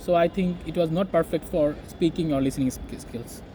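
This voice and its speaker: A man with a Bengali accent, high in pitch, at a fairly quick pace. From Bangladesh. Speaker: English teacher. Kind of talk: interview. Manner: halting.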